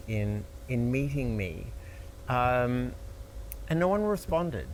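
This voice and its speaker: A man talks with an American accent. Audible room echo surrounds his voice. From Australia, Melbourne. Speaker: entertainment lawyer. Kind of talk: interview conversation.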